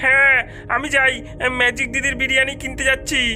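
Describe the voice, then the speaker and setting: A cartoonish character voice at a moderate pace over clear background music. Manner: chatty, rumour-telling.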